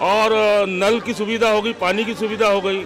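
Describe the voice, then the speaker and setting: Against crowd noise in the background, a man speaks at a high pitch in a monotone, flat intonation. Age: 60s. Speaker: local resident interviewed. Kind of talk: street vox pop interview.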